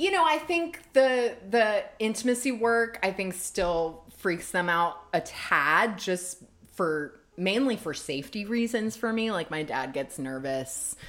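Very slow yet with hardly any pauses, a woman with an American accent speaks as her pitch swings very widely. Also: medium pitch for a woman. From US South, Savannah, Georgia. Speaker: bodyworker and intimacy coach. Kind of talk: casual interview chat.

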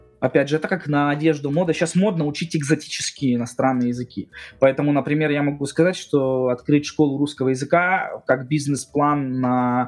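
With a plain, everyday voice, a man speaks at a moderate pace, his pitch fairly high and its variation ordinary. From Russia. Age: 30s. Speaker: blogger, programmer. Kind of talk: casual chat.

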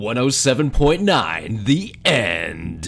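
A man puts on a character voice at a medium pitch. His pitch swings very widely over light background noise. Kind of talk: polished broadcast announcer.

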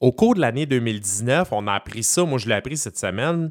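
This man's pitch swings very widely as he speaks at a fairly slow pace. The recording is very clean, dry and close, with no echo and a silent background. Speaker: radio columnist. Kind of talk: casual radio chat and culture column.

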